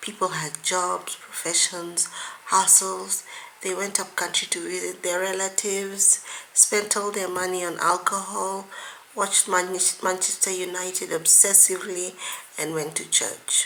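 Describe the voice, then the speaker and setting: A woman's husky, put-on character voice at medium pitch, monotone and flat, at a moderate pace over light background noise. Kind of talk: audiobook reading of a romance novel. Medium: read story. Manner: dry, wry narration.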